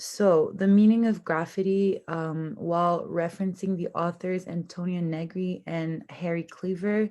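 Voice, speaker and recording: A woman's fairly low-pitched voice at a fairly slow pace, with hardly any pauses and a quiet background. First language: French. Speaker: university student. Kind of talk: class presentation. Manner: somewhat halting with fillers.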